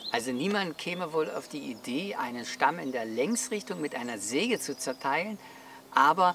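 Against light background noise, a man talks at a fairly slow pace with lively intonation in a dry sound with no echo. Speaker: outdoor gear reviewer. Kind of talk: explanatory talk to camera. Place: open country.

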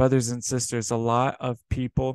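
Against a quiet background, a man talks at a fairly slow pace. His intonation is flat and monotone, and the sound is dry with no echo. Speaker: preacher. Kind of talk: sermon. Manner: earnest, exhorting, repeatedly addressing listeners as brothers and sisters; warm and pastoral. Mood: earnest, exhorting. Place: home room. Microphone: webcam.

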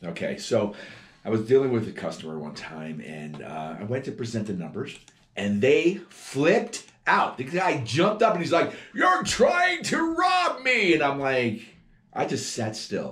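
Someone speaks with an American accent at a fairly slow pace. The loudness swings widely. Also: man. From New Jersey, US. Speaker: car salesman. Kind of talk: promotional video monologue. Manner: casual, conversational. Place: office. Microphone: camera far.

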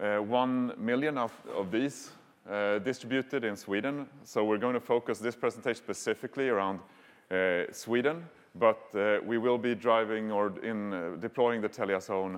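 Moderately paced male speech with ordinary pitch variation. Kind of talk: conference talk. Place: hall.

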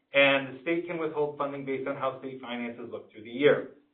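A man at fairly high pitch, fairly quick pace and fairly even intonation, with audible room echo. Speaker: school district administrator presenting budget. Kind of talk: public board meeting presentation. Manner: fast.

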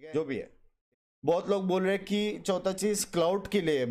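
A man with an animated tone at a moderate pace. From India. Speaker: gaming streamer. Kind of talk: explanatory monologue. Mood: upset, defensive. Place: home room. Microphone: headset.

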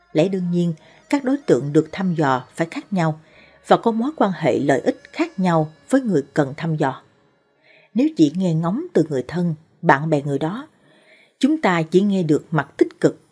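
Faint music plays in the background as a woman talks at a fairly slow pace in a fairly low pitch. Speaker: presenter. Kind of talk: narrated advice talk. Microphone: studio mic.

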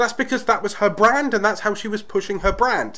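Speaking with a British accent, a man talks at a fairly quick pace and a high pitch. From Britain. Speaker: YouTube tips creator. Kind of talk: tutorial. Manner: energetic.

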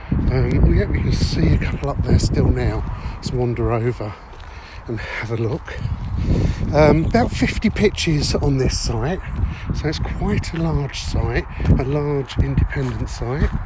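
A man at a fairly slow pace with long, frequent pauses, dry sound with no echo, and loud background noise. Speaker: caravanner reviewing a site. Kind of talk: casual vlog chat. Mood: relaxed, pleasant. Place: open country. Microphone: phone near.

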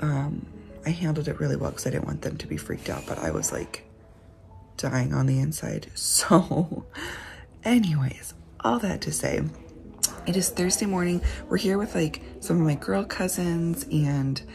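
A woman at a moderate pace with long, frequent pauses and clear music in the background. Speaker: family vlogger. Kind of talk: casual vlog chat. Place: home room. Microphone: phone near.

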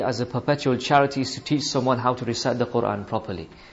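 A man is speaking. His pace is fairly quick. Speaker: religious teacher. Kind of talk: religious lesson. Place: church.

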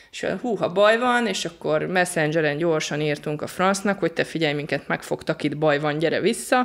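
With hardly any pauses, a woman in an ordinary speaking voice talks at a moderate pace, her fairly low pitch carrying lively intonation. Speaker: volunteer aid worker. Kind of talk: interview.

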